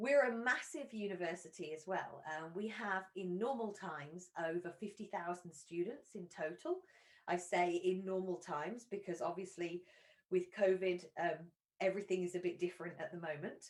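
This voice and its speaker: Someone speaks with an English accent at a moderate pace. The pitch varies in an ordinary way. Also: woman, medium pitch for a woman. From England. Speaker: university recruitment representative. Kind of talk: presentation. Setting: live online stream. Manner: hesitant with fillers.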